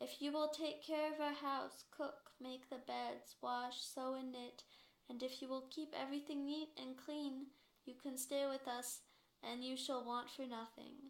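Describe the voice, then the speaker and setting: A woman speaks in a put-on character voice pitched high. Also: moderate pace. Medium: read story.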